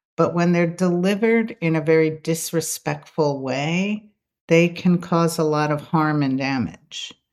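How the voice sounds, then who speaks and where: Fairly low in pitch, a woman with a normal speaking voice talks at a fairly slow pace with ordinary pitch variation. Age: 60s. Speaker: psychotherapist and author. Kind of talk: interview conversation.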